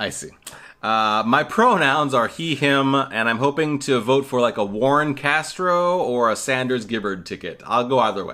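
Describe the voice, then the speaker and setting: A man speaks loudly at a moderate pace and medium pitch, his tone bright and sharp with ordinary pitch variation, on a very clean recording with a silent background. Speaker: podcast co-host. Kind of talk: casual chat. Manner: projecting voice.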